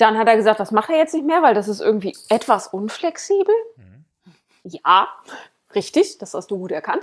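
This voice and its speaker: Speaking at a moderate pace with long, frequent pauses, a woman uses a fairly high voice whose pitch swings very widely. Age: 30s. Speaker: podcast co-host. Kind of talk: casual chat.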